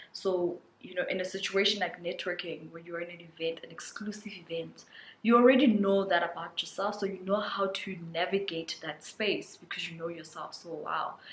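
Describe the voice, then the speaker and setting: Amid noticeable background noise, a woman speaks at a moderate pace and a medium pitch, her loudness swinging widely. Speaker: lifestyle vlogger. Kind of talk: casual vlog monologue. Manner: animated.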